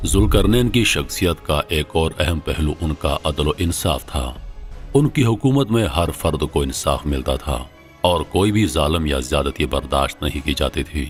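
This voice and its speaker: Over music in the background, a man with a very deep, low voice speaks with lively intonation. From Pakistan. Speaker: voice over artist. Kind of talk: documentary narration.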